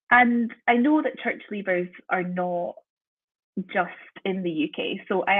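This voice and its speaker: A woman with a slight Scottish accent. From Scotland. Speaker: university lecturer in theology. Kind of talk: guest talk on research.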